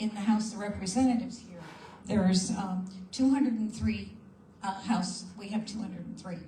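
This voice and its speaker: A woman's medium-pitched voice at a moderate pace, with fairly even intonation, big swings in loudness, audible room echo and noticeable background noise. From New York. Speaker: panel speaker for a voters' advocacy group. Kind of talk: panel talk at a conference. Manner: halting, with many fillers and repeats.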